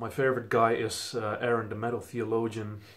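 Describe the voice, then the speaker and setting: A man speaks with a Dutch accent in a room with audible echo. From Netherlands. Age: 20s. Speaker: vinyl collector YouTuber. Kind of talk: casual vlog introduction. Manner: casual with fillers.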